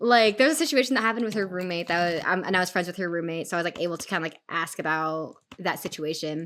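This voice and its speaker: A woman's fairly low voice, very fast with hardly any pauses and ordinary pitch variation, on a very clean recording with a silent background. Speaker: video game streamer. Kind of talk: casual live-stream chat while gaming. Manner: fast, filler-heavy casual speech.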